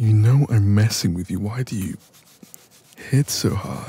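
A man puts on a character voice with a husky, rough edge and a dark, mellow tone. He talks at a fairly slow pace, fairly low in pitch, with lively intonation.

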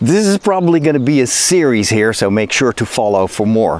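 The voice swings very widely in pitch and carries a Dutch accent. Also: man, dry sound with no echo. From Netherlands. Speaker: priest and geek YouTuber. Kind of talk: video essay, informal commentary. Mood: upbeat, curious. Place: forest. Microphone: phone near.

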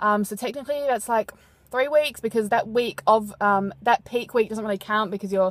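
A woman speaks with fairly even intonation, the sound dry with no echo and the background quiet. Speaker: fitness competitor vlogger. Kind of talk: casual vlog chat. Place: car. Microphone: phone near.

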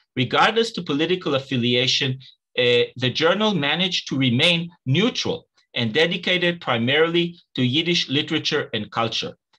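A man speaks at a fairly quick pace with lively intonation and a fairly high pitch. His tone is bright and sharp over a quiet background. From Israel. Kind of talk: academic lecture. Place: home room. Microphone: webcam.

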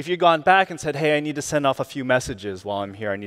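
A man talks at a very fast pace with lively intonation. The background is quiet. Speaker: keynote speaker. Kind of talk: keynote talk. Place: stage. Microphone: headset.

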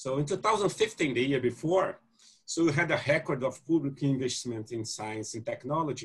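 Against a quiet background, a man with a Portuguese accent speaks fairly slowly in a fairly high, somewhat breathy voice. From Brazil. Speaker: geneticist, panel moderator. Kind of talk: panel discussion. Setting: video call. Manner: halting. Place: home room. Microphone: video call.

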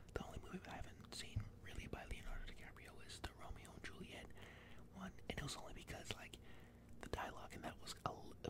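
A man is whispering at a fairly quick pace. Noticeable background noise runs underneath. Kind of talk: ASMR close whisper movie ranking talk. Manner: whispered, close-mic.

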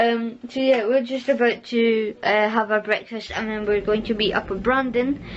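Strong background noise accompanies a woman who talks at a moderate pace. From Scotland. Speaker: vlogger. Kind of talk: casual vlog talk. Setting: outdoors on a walk. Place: kitchen. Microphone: phone near.

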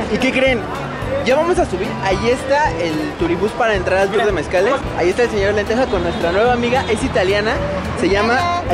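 A man at a fairly quick pace over loud background music. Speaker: travel vlogger. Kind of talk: casual vlog chat. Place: street. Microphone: phone near.

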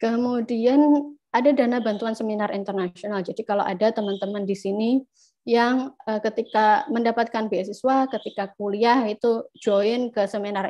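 A woman speaks at a moderate pace in a dark, mellow tone with ordinary pitch variation against a quiet background. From Indonesia (East Java). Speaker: scholarship alumna speaker; speaker. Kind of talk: presentation. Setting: video call. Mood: friendly, relaxed. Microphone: video call.

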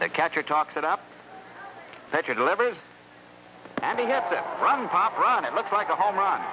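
High-pitched male speech at a moderate pace, with lively intonation, very even loudness and long, frequent pauses, over noticeable background noise. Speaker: television host. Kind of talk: vintage TV feature narration.

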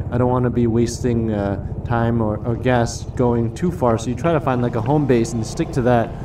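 Noticeable background noise fills the clip. Through it, a man speaks at a moderate pace. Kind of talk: casual vlog chat. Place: motorbike. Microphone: lapel.

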